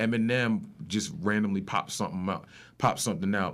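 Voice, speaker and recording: Moving at a fairly quick pace, a man talks with a New York accent. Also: very clean recording, silent background. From New York, Rockland County. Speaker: rapper and music producer. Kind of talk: casual chat.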